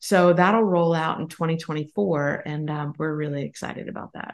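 A woman talks in an unremarkable speaking voice at a fairly low pitch. Her pace is moderate. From Pennsylvania. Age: 50s. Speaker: business co-founder. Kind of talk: interview.

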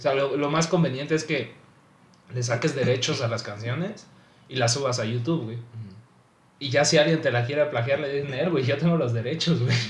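Somewhat breathy and in a Mexican accent, the speaker goes at a moderate pace with ordinary pitch variation and long, frequent pauses, with audible room echo. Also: man, fairly high pitch for a man. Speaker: aspiring music producer. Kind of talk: casual chat.

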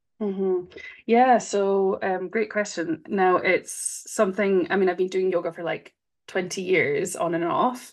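In a Scottish accent, a woman speaks at a fairly slow pace with fairly even intonation against a quiet background. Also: medium pitch for a woman. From Scotland. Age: 30s. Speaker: breathwork facilitator. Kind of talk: interview.

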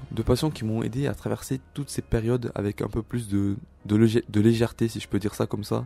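Over music in the background, a man talks at a fairly quick pace with fairly even intonation and a fairly low pitch. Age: 20s. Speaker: self-help podcaster. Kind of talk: solo monologue.

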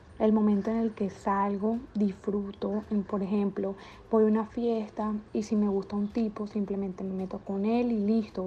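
Somewhat breathy and dark, mellow in tone, a woman at medium pitch speaks at a moderate pace. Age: 20s. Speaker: interviewee, bar waitress. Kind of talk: interview.

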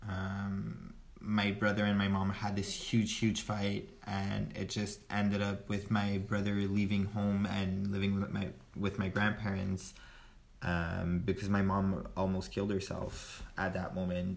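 In a French accent, a man speaks slowly and flatly in a fairly low, monotone voice, with audible room echo around him. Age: 20s. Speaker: friend of host. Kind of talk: casual chat.

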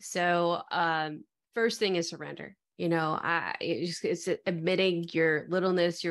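A woman with an American accent and a normal speaking voice talks at a fairly slow pace and fairly low pitch, her intonation fairly even against a quiet background. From US Midwest, Metro Detroit. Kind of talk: interview conversation.

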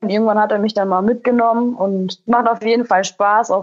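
A woman at a medium pitch in a monotone, flat intonation. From Germany, Lower Rhine. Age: 20s. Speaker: poultry farmer. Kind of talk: interview.

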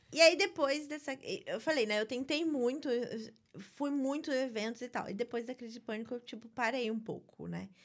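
At a moderate pace, a woman speaks at a high pitch with ordinary pitch variation and big swings in loudness. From Brazil, Rio de Janeiro (Barra da Tijuca). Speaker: writer. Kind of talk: interview conversation.

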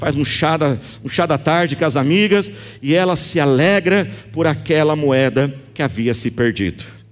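A man's fairly high voice with lively intonation and an animated tone. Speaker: pastor. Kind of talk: sermon, passionate preaching with calls to prayer and declarations over the congregation. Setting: church with live congregation, also streamed online. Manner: animated, emphatic, rising in intensity with repeated phrases.

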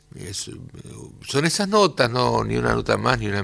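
A man is talking. Vocal fry runs through his voice. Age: 60s. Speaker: guitarist, composer and music teacher. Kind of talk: radio interview. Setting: radio studio. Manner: halting, with many fillers.

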